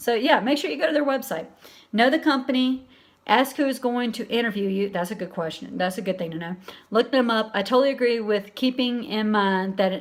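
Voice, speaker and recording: A woman with an American accent talks at a fairly quick pace in a fairly high voice with ordinary pitch variation. The recording is very clean, with a silent background. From US South, Alabama. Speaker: livestream host, transgender community. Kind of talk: live stream chat reading viewer comments. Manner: casual, conversational with fillers.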